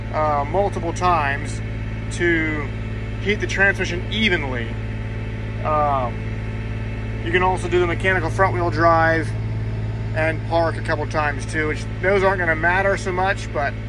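A man speaks with long, frequent pauses. The sound is dry with no echo, and there is noticeable background noise. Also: moderate pace. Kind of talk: tutorial. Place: farm machine. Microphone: phone near.

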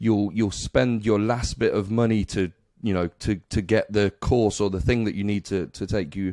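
A man with an ordinary speaking voice talks at a moderate pace, fairly low in pitch and fairly even in intonation. The sound is dry with no echo, against a quiet background. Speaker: podcast host. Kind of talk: interview question. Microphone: studio mic.

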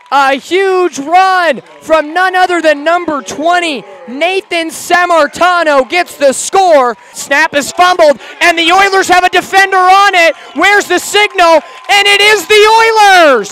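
Against noticeable background noise, a man with an extremely high pitch speaks in a raised, projected voice, animated in tone and swinging widely in loudness. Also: ordinary pitch variation. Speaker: high school football announcer. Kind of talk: football commentary. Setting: audio highlights of a game. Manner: animated, excitable play-by-play.

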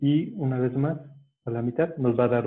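This man talks at a medium pitch and a fairly slow pace. His intonation stays fairly even. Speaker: origami teacher. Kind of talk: tutorial. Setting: video call.

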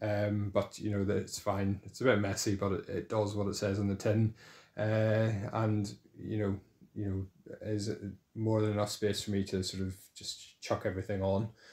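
In an ordinary speaking voice, a man talks at a moderate pace and fairly low pitch. The background is quiet. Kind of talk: casual tour narration. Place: home room. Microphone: phone near.

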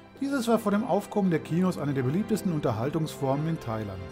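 With music in the background, a fairly high-pitched man speaks at a fairly quick pace with very wide pitch swings. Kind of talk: travel documentary narration.

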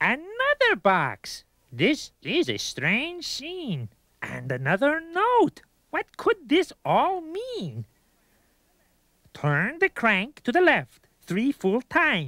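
Very slow and high-pitched, this is a cartoonish character voice. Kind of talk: rhyming children's educational video. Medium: puppet.

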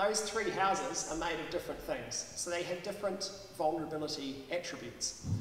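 Over light background noise and audible room echo, a man speaks at a fairly quick pace with ordinary pitch variation. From New Zealand. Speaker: professor. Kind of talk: public science talk. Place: hall. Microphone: podium.

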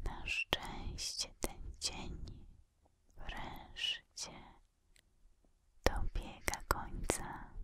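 Whispering very slowly over light background noise, a woman uses a breathy, soothing tone. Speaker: relaxation video creator. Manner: breathy soothing ASMR whisper.

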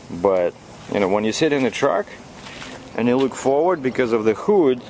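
Recorded dry with no echo, a man talks over light background noise. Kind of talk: casual vlog chat. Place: street. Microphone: phone near.

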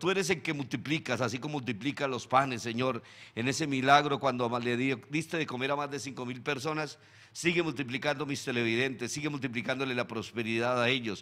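A man talks fairly quickly in a bright, sharp tone with fairly even intonation. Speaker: show host. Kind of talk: prayer then news commentary. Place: studio. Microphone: studio mic.

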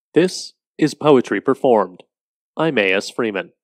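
In a dramatic tone, a man speaks with lively intonation against a quiet background, the sound dry and close with no echo. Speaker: poetry performer and host. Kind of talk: poem performed, reading aloud. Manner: dramatic, eerie, slow and measured.

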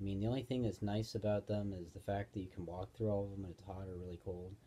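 This man's fairly low voice has a dark, mellow tone, a somewhat breathy quality and flat, monotone intonation. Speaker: vlogger. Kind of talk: casual vlog chat. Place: home room. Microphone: phone near.

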